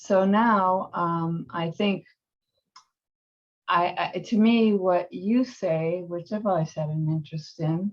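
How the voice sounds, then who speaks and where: A woman with a fairly low pitch talks at a very slow pace. Her voice is somewhat breathy. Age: 70s. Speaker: workshop participant. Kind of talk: group sharing. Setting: video call. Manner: halting.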